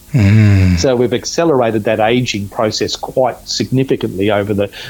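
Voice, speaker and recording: With an Australian accent, a man speaks at a moderate pace. His loudness stays very even. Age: 50s. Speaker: natural medicine practitioner. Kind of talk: interview. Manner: halting, many fillers.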